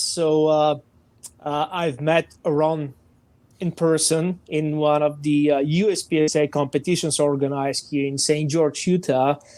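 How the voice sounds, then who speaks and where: Speaking with a Bulgarian accent, a man uses a fairly high pitch and fairly even intonation at a fairly slow pace. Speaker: firearms training director. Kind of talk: podcast interview.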